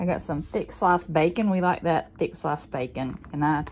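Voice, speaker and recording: A woman with a normal speaking voice and fairly low pitch talks at a moderate pace with ordinary pitch variation over light background noise. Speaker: home vlogger. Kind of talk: casual vlog chat. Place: kitchen. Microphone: phone near.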